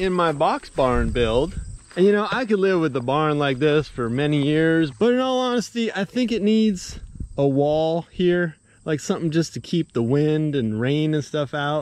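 With a dry sound and no echo, a man speaks at a fairly slow pace, his pitch swinging very widely. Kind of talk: casual vlog chat. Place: open country. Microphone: phone near.

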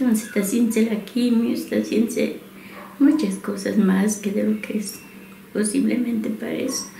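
A woman speaks at a moderate pace in a room with audible echo and light background noise. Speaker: patient's wife. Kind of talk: interview answer. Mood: sad, emotional. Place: home room.

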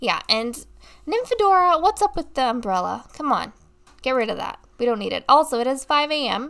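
A woman speaks at a moderate pace with very wide pitch swings and a bright, sharp tone, on a very clean recording with a silent background. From Australia. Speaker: gaming YouTuber. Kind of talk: let's play commentary. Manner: casual, rambling with fillers.

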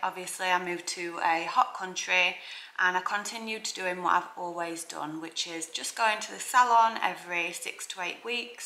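A woman talks at a fairly slow pace with a fairly low pitch and fairly even intonation. Her tone is bright and sharp, and there is audible room echo.

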